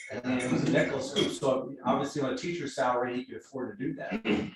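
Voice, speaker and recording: Somewhat breathy and fairly high-pitched, a man speaks with an American accent. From Southern California (Riverside, San Bernardino). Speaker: service club member giving a talk. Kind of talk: personal speech to club members. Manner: halting with many fillers.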